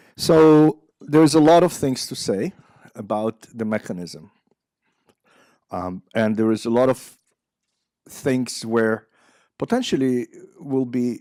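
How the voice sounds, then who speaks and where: In a dark, mellow tone and with an Israeli accent, a man speaks at a medium pitch and a fairly slow pace with ordinary pitch variation and long, frequent pauses, the sound dry and close with no echo. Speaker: psychiatry professor. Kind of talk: lecture. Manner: halting, many fillers.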